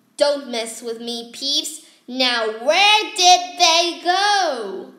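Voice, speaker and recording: Speaking in a put-on character voice, a woman goes very slowly at a high pitch, with very wide pitch swings and big swings in loudness. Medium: read story.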